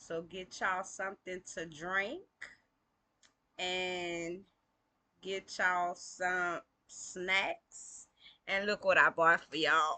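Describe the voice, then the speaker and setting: Very slowly and with long, frequent pauses, a woman speaks at a medium pitch in a monotone, flat intonation with a bright, sharp tone and big swings in loudness. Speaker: online video host reading aloud. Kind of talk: casual chat and reading aloud.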